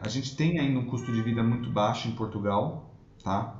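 A man's somewhat breathy voice at medium pitch, with audible room echo. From Brazil, São Paulo city. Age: 30s. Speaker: immigration lawyer. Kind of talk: interview.

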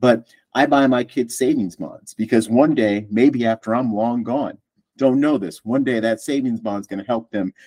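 The recording is dry and close with no echo, as a man with a dark, mellow tone talks at a moderate pace. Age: 50s. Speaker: podcast host. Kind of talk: casual chat.

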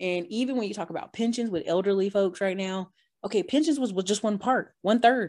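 The tone is animated, with fairly quick delivery and ordinary pitch variation in a very clean recording with a silent background. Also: woman, medium pitch for a woman. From North Carolina. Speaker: YouTuber and real estate investor. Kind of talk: interview.

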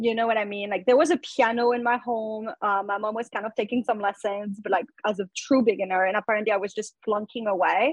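A woman's fairly high, fairly quick voice in a French accent, with hardly any pauses and a dry, close sound with no echo. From France. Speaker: musician and tech recruiter. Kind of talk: casual chat.

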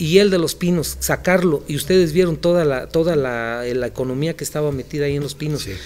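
Over noticeable background noise, a man with a fairly high pitch talks at a fairly quick pace with hardly any pauses and ordinary pitch variation. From Michoacán, Mexico (Morelia). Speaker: physician. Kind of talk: casual interview. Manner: halting.

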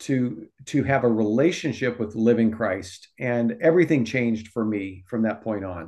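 Against a quiet background, a man with an unremarkable speaking voice talks at medium pitch and a fairly slow pace, with ordinary pitch variation. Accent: American. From Omaha, Nebraska. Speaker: youth ministry director. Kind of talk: casual interview.

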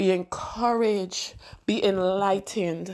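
A woman speaks at a fairly slow pace with ordinary pitch variation on a very clean recording with a silent background. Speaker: prayer leader. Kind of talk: fervent prayer, intercessory, with repeated praise and petition. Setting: recorded solo audio message. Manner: fervent, rhythmic, repetitive, impassioned; earnest, devotional.

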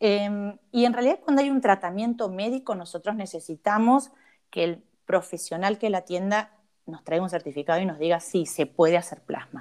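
A woman with an ordinary speaking voice, medium pitch, lively intonation and a moderate pace. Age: 50s. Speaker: cosmetologist. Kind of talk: interview.

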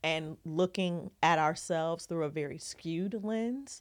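Against a silent background in a very clean recording, a woman with a plain, everyday voice speaks at a fairly low pitch and a fairly slow pace, with ordinary pitch variation. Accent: American. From Ohio and Southern California. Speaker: TV film producer and branding coach. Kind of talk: casual interview. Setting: studio, sitting next to host.

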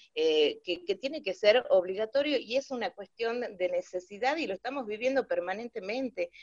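In an ordinary speaking voice with lively intonation, a woman talks in a dry, close sound with no echo. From Salta, Argentina. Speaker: journalist and moderator. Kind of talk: panel discussion.

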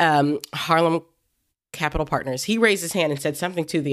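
A woman with an American accent speaks with ordinary pitch variation in a very clean recording with a silent background. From Ohio, US Midwest. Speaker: podcast co-host, cosmetics CEO. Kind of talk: casual chat.

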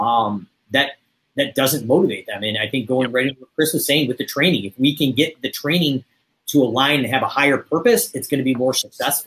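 A man with fairly high pitch, ordinary pitch variation and a very fast pace. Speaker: podcast host and business coach. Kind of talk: casual chat. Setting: studio.

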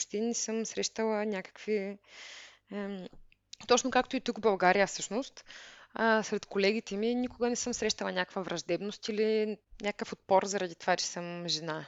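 A woman with a medium pitch keeps her intonation fairly even while talking at a moderate pace. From Bulgaria, Veliko Tarnovo. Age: 30s. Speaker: software engineer. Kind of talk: interview. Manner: halting.

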